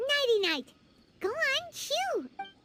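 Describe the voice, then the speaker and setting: A put-on character voice, female-sounding and squeaky, jumps across very wide pitch swings at an extremely high pitch. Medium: video game. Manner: chatty, speaks of herself in third person.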